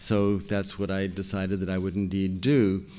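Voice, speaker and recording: In an American accent, a man speaks with a fairly low pitch, a dark, mellow tone and monotone, flat intonation, with audible room echo around him. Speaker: scientist, foundation president. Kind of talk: lecture. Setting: stage with audience. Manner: soft-spoken; halting.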